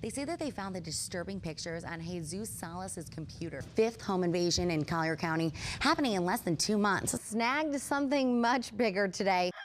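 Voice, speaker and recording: In an ordinary speaking voice, a woman at medium pitch talks at a fairly quick pace with lively intonation and hardly any pauses. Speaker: TV news anchor and reporter. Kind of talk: anchor studio news read.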